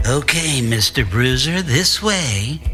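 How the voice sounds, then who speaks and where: Over clear background music, a man speaks slowly in a medium-pitched, put-on character voice. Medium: read story.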